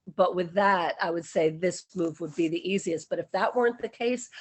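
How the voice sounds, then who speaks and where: This woman has an ordinary speaking voice with a fairly low pitch and ordinary pitch variation. She talks at a fairly quick pace. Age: 60s. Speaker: interviewee sharing city experience. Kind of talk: interview.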